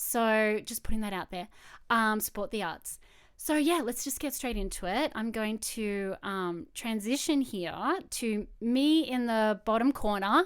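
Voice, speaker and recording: In an Australian accent, a woman speaks at a fairly slow pace and fairly high pitch with ordinary pitch variation, on a very clean recording with a silent background. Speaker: photographer. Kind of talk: live-streamed presentation. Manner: casual.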